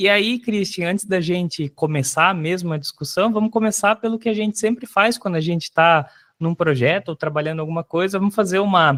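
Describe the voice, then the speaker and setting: This man talks at a fairly quick pace in a high voice with ordinary pitch variation. The sound is dry and close, with no echo. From Brazil, Paraná. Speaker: podcast host, digital marketer. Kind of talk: casual podcast chat.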